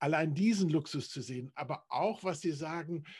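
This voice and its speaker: A man with a high voice speaks at a fairly slow pace with ordinary pitch variation against a quiet background. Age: 70s. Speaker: church parish volunteer interviewer. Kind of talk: interview. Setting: video call.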